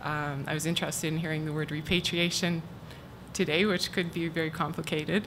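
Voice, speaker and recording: Her pitch is very deep and low, and the woman's intonation stays monotone and flat. She speaks at a fairly quick pace with audible room echo. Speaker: university archivist. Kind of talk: conference talk. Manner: soft-spoken.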